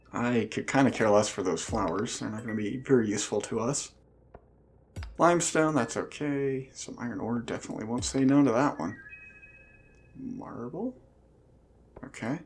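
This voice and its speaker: With noticeable background noise, a man at medium pitch talks at a moderate pace with ordinary pitch variation and long, frequent pauses. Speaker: gaming let's play host. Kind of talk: casual gameplay commentary.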